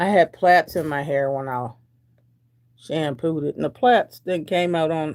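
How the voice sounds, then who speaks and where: A woman with a very deep, low pitch speaks at a fairly slow pace, with ordinary pitch variation and long, frequent pauses. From Delaware. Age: 60s. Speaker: lifestyle vlogger. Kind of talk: casual livestream chat with viewers. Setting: at home on camera. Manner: chatty, informal.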